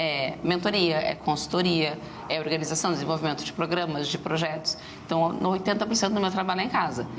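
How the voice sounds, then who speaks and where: A woman's fairly low-pitched voice at a fairly quick pace, with fairly even intonation, audible room echo and noticeable background noise. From southern Brazil, Rio Grande do Sul (Rio Grande). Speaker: startup entrepreneur and business mentor. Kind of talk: TV interview. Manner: fast.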